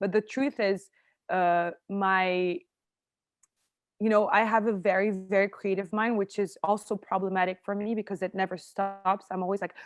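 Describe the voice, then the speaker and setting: A woman with a French accent at a medium pitch, her intonation monotone and flat, in a dry, close sound with no echo over a quiet background. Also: moderate pace. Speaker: actress and screenwriter. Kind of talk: interview conversation.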